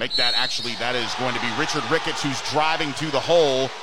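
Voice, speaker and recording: A man's voice against noticeable background noise. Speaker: radio play-by-play announcer. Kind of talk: live sports commentary. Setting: gymnasium broadcast.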